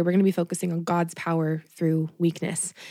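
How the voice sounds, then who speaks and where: A dark, mellow tone at a fairly quick pace, with a dry, close sound and no echo. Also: woman. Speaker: podcast host. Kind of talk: casual chat. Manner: chatty.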